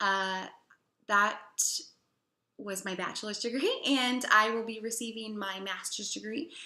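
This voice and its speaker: A woman speaks with a Chicago accent. Her fairly high voice has a bright, sharp tone. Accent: Chicago American English. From US Midwest, Chicago. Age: 20s. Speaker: English teacher. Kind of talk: personal testimonial.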